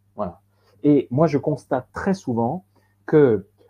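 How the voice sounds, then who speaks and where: A man's voice with lively intonation. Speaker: professional coach and trainer. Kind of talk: webinar presentation. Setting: online webinar. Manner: halting, with frequent repetitions and fillers.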